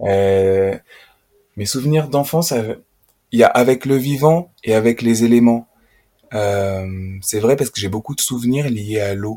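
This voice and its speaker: Pausing long and often, a man speaks at medium pitch with ordinary pitch variation. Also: fairly slow pace. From France, Auvergne (Puy-de-Dôme). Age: 30s. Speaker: nature educator. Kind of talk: casual interview conversation. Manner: hesitant, many fillers.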